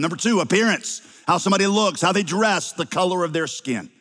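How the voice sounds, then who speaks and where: The speaker has a slight Southern US accent. The pace is moderate. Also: man. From US South. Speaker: pastor. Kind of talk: sermon.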